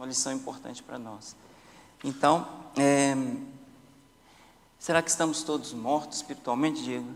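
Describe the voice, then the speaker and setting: A man's fairly high voice at a moderate pace, with fairly even intonation, long, frequent pauses and big swings in loudness. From Brazil. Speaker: Sabbath school teacher. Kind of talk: Bible study discussion. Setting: church.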